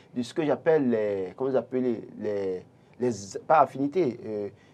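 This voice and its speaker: This man's voice sits at a medium pitch and moves at a moderate pace. His pitch swings very widely. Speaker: panelist. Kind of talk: studio panel discussion. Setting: studio. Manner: halting.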